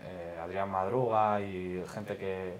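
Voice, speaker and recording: A man's very deep, low voice, monotone and flat, with audible room echo. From Spain, Madrid. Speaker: stand-up comedian. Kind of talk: casual chat.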